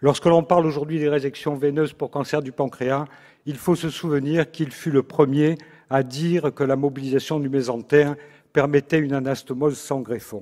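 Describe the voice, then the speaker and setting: On a very clean recording with a silent background, a man with a fairly high, dark and mellow voice speaks flatly in a monotone at a moderate pace. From Marseille, southern France. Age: 60s. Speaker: surgeon, congress president. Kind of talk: formal presidential speech. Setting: stage with audience. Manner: formal.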